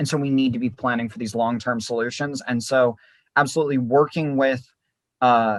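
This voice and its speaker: In an ordinary speaking voice, a man talks at a fairly quick pace with medium pitch and fairly even intonation against a quiet background. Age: young. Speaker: political activist and mayoral candidate. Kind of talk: interview answer.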